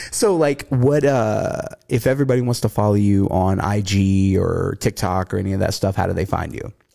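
Speaking with an American accent at a moderate pace and with hardly any pauses, a man uses a fairly low, dark, mellow voice with ordinary pitch variation. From US South. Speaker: podcast host. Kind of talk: casual chat, profane banter.

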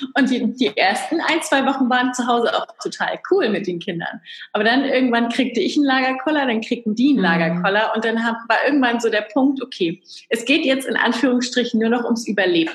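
A woman with a high pitch speaks at a fairly quick pace with lively intonation. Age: 30s. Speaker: entrepreneur and business coach. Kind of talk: interview.

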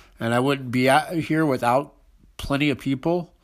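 In a very clean recording with a silent background, a man speaks at a moderate pace. His intonation stays fairly even. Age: 40s. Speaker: podcast host and music writer. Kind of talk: scripted intro monologue.

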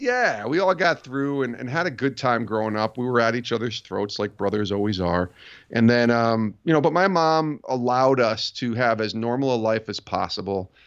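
Against a quiet background, an ordinary speaking voice with an American accent runs at a moderate pace with ordinary pitch variation and hardly any pauses. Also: man, medium pitch for a man. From upstate New York. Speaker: sports podcast host and author. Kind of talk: casual interview chat.

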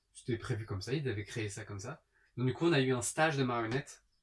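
A man speaks at a very fast pace and a medium pitch. His voice is somewhat breathy. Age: 30s. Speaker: stage performer and singer. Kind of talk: casual chat.

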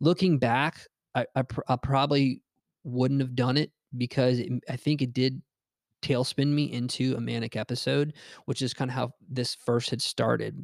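Very clean recording, silent background, with a dry, close sound and no echo. A man of medium pitch speaks at a moderate pace with fairly even intonation. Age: 30s. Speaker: podcast host sharing mental health experience. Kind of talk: solo monologue. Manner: halting, many fillers.

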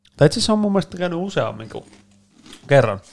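Ordinary pitch variation marks the speech of a man. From Helsinki, Finland (East Helsinki). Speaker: podcast co-host. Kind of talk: casual chat.

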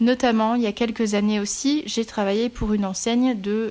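Over noticeable background noise, a woman speaks at a moderate pace. Her pitch is fairly high. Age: 30s. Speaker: podcaster and virtual assistant. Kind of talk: solo podcast monologue. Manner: halting, many fillers.

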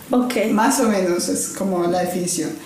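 Over noticeable background noise and audible room echo, a woman talks at a fairly slow pace with fairly even intonation. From Colombia, Cali. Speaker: designer and consultant. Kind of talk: casual interview.

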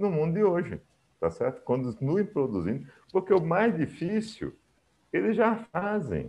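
A man talks at a moderate pace. His pitch is high and his intonation lively. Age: 60s. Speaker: engineer and tech entrepreneur. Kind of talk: interview. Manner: talkative.

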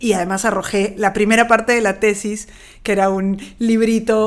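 A woman uses a plain, everyday voice. She has a fairly high pitch and a fairly slow pace. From Peru, Lima. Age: 40s. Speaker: poet. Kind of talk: interview.

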